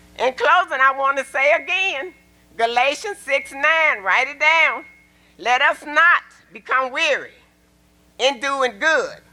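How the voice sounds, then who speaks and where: In an Arkansas accent, a raised, projected voice moves at a fairly slow pace with lively intonation and long, frequent pauses. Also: woman, high pitch for a woman. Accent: Southern US (Arkansas). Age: 70s. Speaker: public commenter at council meeting. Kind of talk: public comment speech. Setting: city council meeting. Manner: animated.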